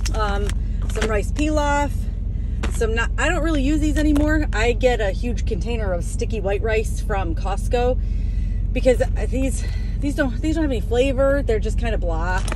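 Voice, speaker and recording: A woman talks at a moderate pace. The sound is dry with no echo, though background noise is noticeable. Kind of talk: casual vlog chat. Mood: relaxed, friendly storytelling. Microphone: phone near.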